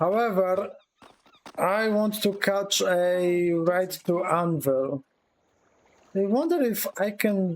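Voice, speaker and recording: With a Polish accent, a man speaks at a high pitch and a very slow pace, with long, frequent pauses. His pitch varies in an ordinary way and his loudness stays very even. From Poland. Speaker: video game streamer. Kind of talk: live gameplay stream commentary. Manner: casual, halting with repetitions.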